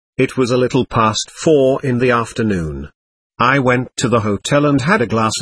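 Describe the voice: This is plain reading aloud with ordinary pitch variation. The background stays quiet.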